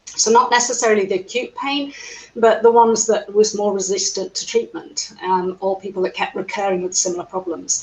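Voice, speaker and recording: A fairly quick pace and ordinary pitch variation in an English accent, with noticeable background noise. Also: woman, fairly high pitch for a woman. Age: 60s. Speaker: physiotherapist. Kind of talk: interview.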